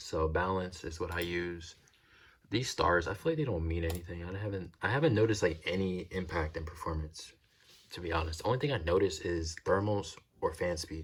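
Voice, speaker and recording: A man speaks in a very deep, low pitch with ordinary pitch variation and a somewhat breathy quality. His pace is fairly quick. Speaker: tech reviewer. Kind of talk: casual product review. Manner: fast; stuttering, halting.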